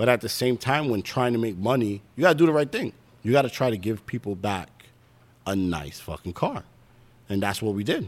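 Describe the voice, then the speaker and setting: Lively intonation from a man with a medium pitch. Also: fairly quick pace. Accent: New York. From Brooklyn, New York. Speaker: drag racer. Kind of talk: casual chat.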